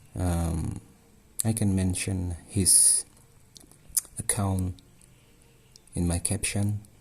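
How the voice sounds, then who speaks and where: Very slowly and with fairly even intonation, a man speaks at a very deep, low pitch. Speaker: craft tutorial maker. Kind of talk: tutorial. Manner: halting.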